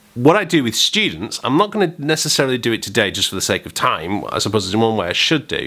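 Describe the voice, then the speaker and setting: A man talks very fast with an English accent. His pitch is medium and his tone bright and sharp. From England. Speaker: saxophone teacher. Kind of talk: tutorial; casual vlog.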